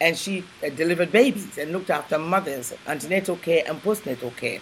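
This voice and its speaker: Speaking at a very fast pace, a woman uses a fairly low voice. Noticeable background noise runs underneath. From Ghana. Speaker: civil celebrant, chef and author. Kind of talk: interview, personal storytelling.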